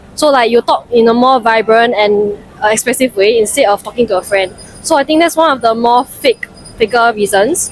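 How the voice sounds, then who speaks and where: A woman with a Singaporean accent speaks at a fairly quick pace and a fairly high pitch, her loudness very even, over noticeable background noise. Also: ordinary pitch variation. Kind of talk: interview answer. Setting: outdoors.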